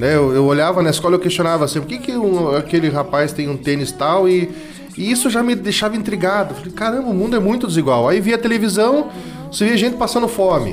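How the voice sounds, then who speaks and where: Over noticeable background noise and audible room echo, a man talks at a very fast pace with a high pitch and lively intonation. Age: 40s. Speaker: former municipal environment secretary. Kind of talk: radio interview.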